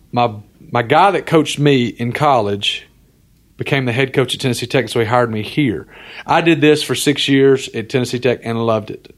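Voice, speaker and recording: A man with an Alabama accent talks at a fairly quick pace. His pitch is medium and varies in an ordinary way. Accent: Southern US (Alabama). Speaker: entrepreneur, former college football coach. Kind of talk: casual interview.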